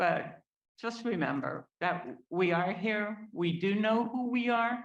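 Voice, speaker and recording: A woman talks with lively intonation at a fairly high pitch. Audible room echo surrounds her voice. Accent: American. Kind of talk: public testimony. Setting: public meeting hall. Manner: unscripted, speaking without notes.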